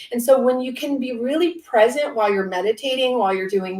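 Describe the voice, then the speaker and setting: A woman speaks with an American accent and ordinary pitch variation. Noticeable background noise can be heard. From US West Coast, Orange County, California. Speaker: author. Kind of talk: panel interview.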